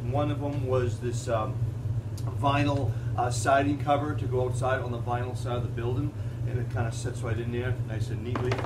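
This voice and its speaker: Noticeable background noise accompanies a man talking at a fairly quick pace. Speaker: presenter. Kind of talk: tutorial. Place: garage. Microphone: camera far.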